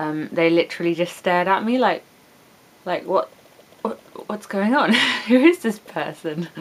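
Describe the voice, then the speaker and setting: With an English accent, a woman speaks at a moderate pace, pausing long and often. Her pitch is medium with ordinary variation, and noticeable background noise runs underneath. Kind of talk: casual vlog talk to webcam.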